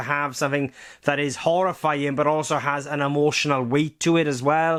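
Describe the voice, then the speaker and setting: In a strong Welsh accent, a man speaks at a fairly high pitch and a moderate pace with monotone, flat intonation on a very clean recording with a silent background. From Wales. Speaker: film and TV reviewer. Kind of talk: video review monologue. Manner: rambling, hesitant with fillers.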